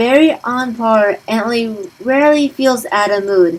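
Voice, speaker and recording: In a plain, everyday voice, the speaker takes a fairly slow pace. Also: woman. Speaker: gaming let's play commentator. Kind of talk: game walkthrough commentary and review. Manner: casual, conversational.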